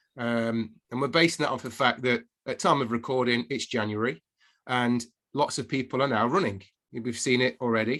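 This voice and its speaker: A man with an English accent speaks at a moderate pace in a medium pitch, his pitch rising and falling in an ordinary way, on a very clean recording with a silent background. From England. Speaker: podcast co-host, fitness coach. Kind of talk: casual podcast chat.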